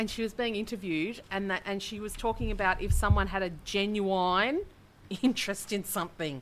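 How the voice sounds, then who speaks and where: A woman with an Australian accent and a medium pitch speaks at a moderate pace. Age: 40s. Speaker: podcast co-host. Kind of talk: casual chat.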